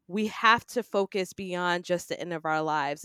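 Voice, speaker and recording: A woman with an American accent and a normal speaking voice, medium in pitch, fairly even in intonation and moderate in pace, dry and close with no echo on a very clean recording with a silent background. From New York City, Queens. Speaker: public speaking coach and business strategist. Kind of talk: podcast interview.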